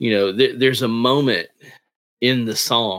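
Here a man has an unremarkable speaking voice, medium in pitch with fairly even intonation. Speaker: comic writer and creator. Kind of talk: casual interview chat.

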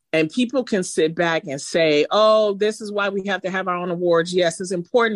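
With an American accent, a woman speaks in an unremarkable speaking voice at a fairly low pitch. Her pace is moderate and her pitch varies in an ordinary way. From Detroit, Michigan. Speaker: radio host. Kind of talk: casual chat.

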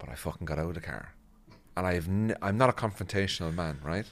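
A man with a very deep, low pitch speaks very fast with lively intonation in a Northern Irish accent. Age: 40s. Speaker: comedian. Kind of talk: casual chat.

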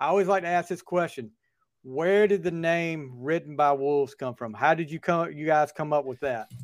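Very clean recording, silent background: a man's moderate-paced speech, fairly high in pitch, with ordinary pitch variation. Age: 40s. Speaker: podcast host. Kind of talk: interview. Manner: halting.

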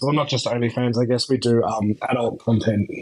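Over noticeable background noise, a man talks at a medium pitch with an Australian accent. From Australia, outback (Mount Isa area). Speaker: adult content creator. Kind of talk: casual interview chat. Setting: remote call from Australia.

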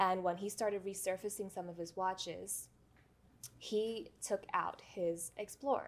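In an American accent, a woman speaks at a medium pitch and a fairly slow pace. It is an ordinary speaking voice with fairly even intonation. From New York City (the Bronx). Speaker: watch collector and YouTuber. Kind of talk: casual interview chat.

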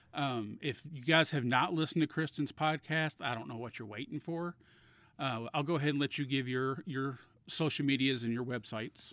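An unremarkable speaking voice, with ordinary pitch variation and a moderate pace, comes through on a very clean recording with a silent background. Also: man, fairly high pitch for a man. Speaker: podcast host. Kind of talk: casual interview chat.

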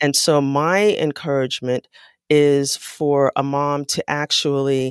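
Someone with an American accent speaks at a very slow pace, the sound dry and close with no echo. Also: woman. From US Northeast, New York City (South Bronx). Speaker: psychologist and parenting author. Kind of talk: interview.

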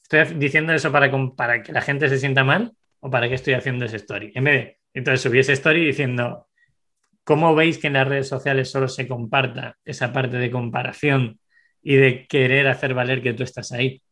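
A bright, sharp tone with fairly even intonation, a fairly quick pace and a quiet background. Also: man, medium pitch for a man. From Spain, Segovia (Castile). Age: 30s. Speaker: entrepreneur. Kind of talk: interview.

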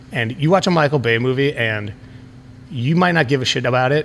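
A man with an American accent has an ordinary speaking voice at medium pitch. He keeps a fairly quick pace and ordinary pitch variation. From Chicago, US Midwest. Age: 40s. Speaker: punk musician. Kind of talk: casual chat. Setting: bar.

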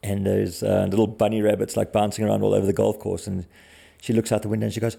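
A man speaks with a South African accent. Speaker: bow hunter guest. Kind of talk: casual chat.

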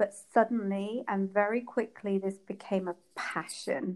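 At a fairly slow pace, a woman with an English accent speaks at medium pitch with fairly even intonation. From England. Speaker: period and fertility coach. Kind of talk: interview.

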